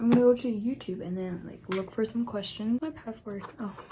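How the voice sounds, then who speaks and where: Noticeable background noise sits behind the voice. A woman speaks at a fairly high pitch. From Nepal. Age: 20s. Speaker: beauty vlogger. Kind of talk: casual chat. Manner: casual.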